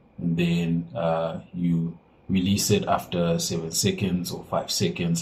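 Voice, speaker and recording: Speaking at a very slow pace, a man with a very deep, low pitch keeps his intonation fairly even. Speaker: phone and laptop repair technician. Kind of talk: tutorial. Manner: casual, halting with fillers.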